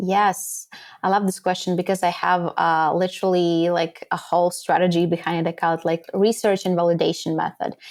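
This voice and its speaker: In a very clean recording with a silent background, a woman with a fairly low pitch speaks at a fairly quick pace, her monotone, flat intonation matched by very even loudness. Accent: slight Latvian. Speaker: podcast guesting strategist. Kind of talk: interview.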